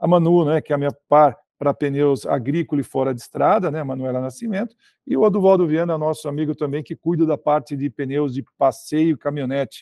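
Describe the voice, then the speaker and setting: This man speaks at a fairly quick pace with hardly any pauses, his fairly high pitch showing ordinary variation, in a dry recording with no echo and a quiet background. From Brazil. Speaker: sales director; guest. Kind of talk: interview. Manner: hesitant, many filler words. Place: office. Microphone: video call.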